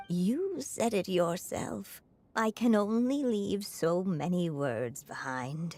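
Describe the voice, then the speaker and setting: Putting on a character voice, a woman talks at a very slow pace with very wide pitch swings. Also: medium pitch for a woman. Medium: video game. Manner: soft, contemplative.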